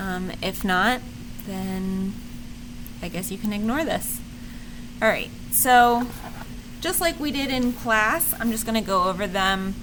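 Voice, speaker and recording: Amid audible room echo, a woman speaks at a fairly slow pace and a fairly high pitch. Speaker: teacher. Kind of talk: lecture.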